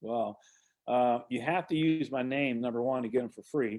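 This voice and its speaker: This man has a normal speaking voice. He talks at a moderate pace with ordinary pitch variation. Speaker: real estate investor and trainer. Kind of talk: online presentation. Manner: casual.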